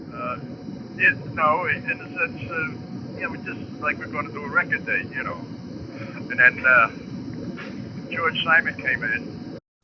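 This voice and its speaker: Noticeable background noise surrounds a man talking at a fairly slow pace, his loudness rising and falling sharply. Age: 80s+. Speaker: jazz drummer. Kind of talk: interview. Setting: phone call. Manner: halting.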